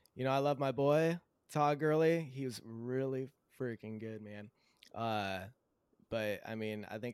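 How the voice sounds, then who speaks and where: In a very clean recording with a silent background, a man with an American accent uses a normal speaking voice at a moderate pace. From Southern California. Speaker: new podcast panelist. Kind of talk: casual chat.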